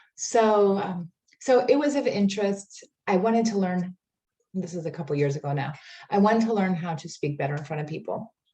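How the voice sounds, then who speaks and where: Speaking at a fairly quick pace, a woman with a medium pitch uses lively intonation in a dark, mellow, somewhat breathy tone. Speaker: life coach. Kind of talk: workshop presentation. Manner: casual, filler-heavy.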